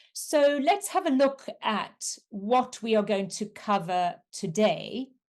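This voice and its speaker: The speaker has a South African accent and talks at a very slow pace with very wide pitch swings. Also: woman, fairly high pitch for a woman. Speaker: coach and resilience trainer. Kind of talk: webinar presentation.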